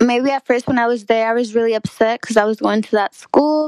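Fairly even intonation marks this high-pitched woman's speech. The sound is dry and close, with no echo. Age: 20s. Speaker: college student. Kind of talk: casual chat.

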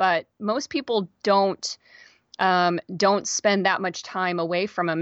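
In a General American accent, a woman with an ordinary speaking voice talks fairly slowly at a medium pitch with ordinary pitch variation, in a dry, close sound with no echo against a quiet background. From Kansas, US. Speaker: podcast host. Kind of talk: interview.

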